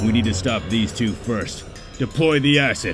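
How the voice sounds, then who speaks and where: Over clear background music, a man does a put-on character voice at medium pitch and a moderate pace, his loudness very even. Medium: machinima. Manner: serious, terse.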